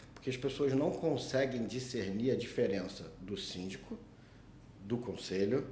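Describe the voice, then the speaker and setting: A somewhat breathy, dark and mellow voice with a strong Rio de Janeiro accent moves at a fairly slow pace with ordinary pitch variation. Audible room echo surrounds the speech. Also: man, medium pitch for a man. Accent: strong carioca. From Rio de Janeiro, Brazil. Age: 40s. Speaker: condominium lawyer, podcast host. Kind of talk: casual chat.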